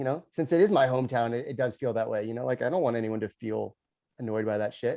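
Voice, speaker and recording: A man with a Californian accent speaks at a very fast pace in a medium pitch. His tone is dark and mellow, with ordinary pitch variation. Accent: Californian American. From Los Angeles, Pacific Palisades. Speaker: podcast host. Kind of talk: podcast interview.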